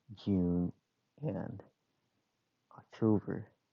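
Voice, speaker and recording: Very deep, low pitch from a man, with fairly even intonation. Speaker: transit enthusiast explaining bus schedule changes. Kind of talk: casual explainer talk. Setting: muffled headphone mic. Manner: hesitant, many filler words.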